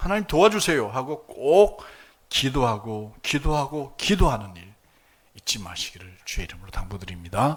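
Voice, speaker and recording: A man speaks at a moderate pace with vocal fry, very wide pitch swings, and big swings in loudness. The recording is very clean, with a silent background. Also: medium pitch for a man. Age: 60s. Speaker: pastor. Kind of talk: sermon. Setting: church service with congregation.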